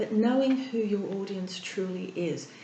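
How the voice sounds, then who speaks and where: Fairly slow and medium in pitch, a woman with an Australian accent speaks with ordinary pitch variation over noticeable background noise. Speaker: therapist and breathing coach. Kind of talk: interview answer.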